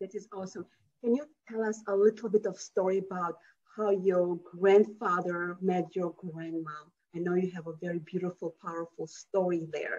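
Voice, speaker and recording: A woman talks at a moderate pace with fairly even intonation. Her loudness swings widely. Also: medium pitch for a woman. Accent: non-native. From foreign country. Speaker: interview host. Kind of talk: interview.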